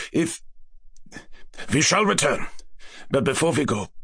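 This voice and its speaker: A man's raspy, put-on character voice at a moderate pace. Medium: read story. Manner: grave, formal, slightly foreign phrasing.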